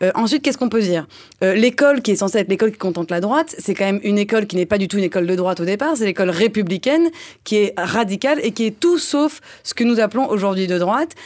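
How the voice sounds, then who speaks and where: Very fast speech from a woman at a medium pitch, with lively intonation, on a very clean recording with a silent background. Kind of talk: satirical panel discussion. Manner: higher pitch than usual.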